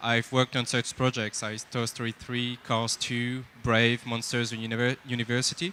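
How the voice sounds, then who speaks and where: A man with a French accent speaks at a moderate pace and a medium pitch. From France. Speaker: lighting technical director, speaker. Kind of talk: conference talk. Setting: stage with audience. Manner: halting, with frequent fillers.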